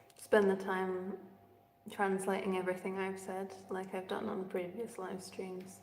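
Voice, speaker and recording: A woman with an English accent, medium pitch and moderate pace, amid noticeable background noise and audible room echo. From England. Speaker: singer. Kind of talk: casual livestream chat. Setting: echoey room, livestream.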